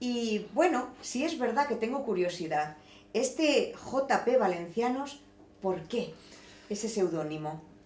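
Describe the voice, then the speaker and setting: Amid noticeable background noise and audible room echo, a woman with a fairly high voice speaks at a very slow pace, her pitch swinging very widely. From Valencian Community, Spain. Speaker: interviewer, teacher. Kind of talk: interview.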